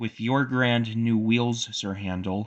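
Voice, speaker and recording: A man in a put-on character voice, speaking at a fairly slow pace with a medium pitch. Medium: read story. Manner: gentle, grave.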